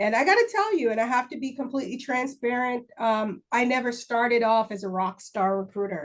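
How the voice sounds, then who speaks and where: A woman with a Jamaican accent talks at a fairly quick pace and high pitch, with hardly any pauses. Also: ordinary pitch variation. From Jamaica (Kingston). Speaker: army recruiting first sergeant. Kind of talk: interview.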